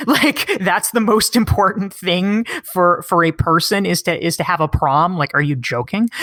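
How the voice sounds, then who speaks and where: An animated voice with an American accent, lively intonation, very even loudness, a moderate pace and hardly any pauses. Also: woman. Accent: slight Canadian-sounding. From US South, North Carolina. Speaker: author. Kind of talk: interview.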